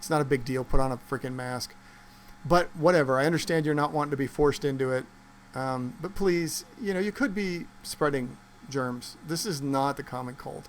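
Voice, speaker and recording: The man's fairly high-pitched voice moves at a moderate pace. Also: ordinary pitch variation. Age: 60s. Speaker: vlogger. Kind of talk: casual monologue. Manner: hesitant, many fillers.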